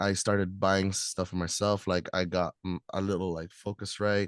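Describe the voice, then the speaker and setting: The speaker is a man. His voice sits very deep and low. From Philippines. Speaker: hip-hop artist and producer. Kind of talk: casual interview. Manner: casual, conversational.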